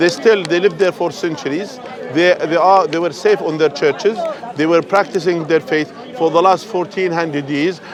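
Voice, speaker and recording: Over crowd noise in the background, a man with an Arabic accent speaks at a moderate pace, high in pitch with ordinary pitch variation. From Jordan. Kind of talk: heated street debate. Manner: repetitive, stammering.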